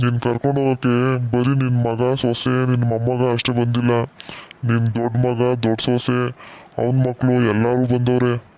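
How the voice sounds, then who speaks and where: A man's cartoonish character voice at medium pitch, delivered in a monotone, flat intonation. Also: moderate pace. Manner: blunt, scolding.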